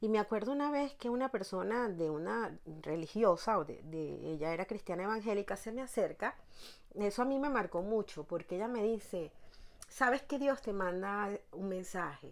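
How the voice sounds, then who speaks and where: In a normal speaking voice, a woman talks at medium pitch and a moderate pace with lively intonation. The recording is very clean with a silent background. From Venezuela, La Guaira (Vargas state). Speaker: therapist and personal development teacher. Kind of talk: interview.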